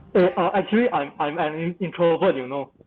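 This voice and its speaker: A man with a Malaysian accent and a high pitch talks at a fairly quick pace. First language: not English. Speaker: creative industry professional panelist. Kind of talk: panel webinar discussion.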